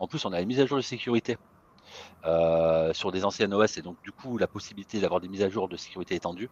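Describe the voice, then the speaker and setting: A man's fairly low voice at a very fast pace, with ordinary pitch variation, big swings in loudness, and a dry, close sound with no echo. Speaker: IT consultant. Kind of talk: webinar presentation.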